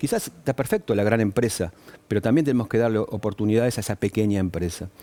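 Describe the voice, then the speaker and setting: Very fast male speech, fairly low in pitch, very even in loudness, with ordinary pitch variation. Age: 60s. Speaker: business association leader. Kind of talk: TV news interview. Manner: hesitant with fillers.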